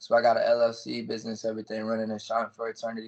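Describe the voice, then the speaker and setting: Quickish in pace, a man with an American accent talks at medium pitch. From Dayton, Ohio, US Midwest. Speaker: rapper. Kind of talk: casual interview.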